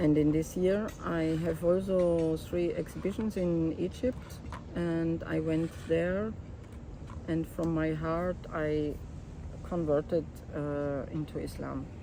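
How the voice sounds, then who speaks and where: Speaking at a very slow pace, a woman talks with a German accent. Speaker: photographer and documentary artist. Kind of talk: interview, personal life story. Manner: halting.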